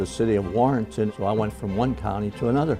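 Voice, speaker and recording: Over music in the background, a man with a fairly low pitch speaks at a moderate pace, his pitch swinging very widely. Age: 80s+. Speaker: war veteran. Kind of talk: interview answer.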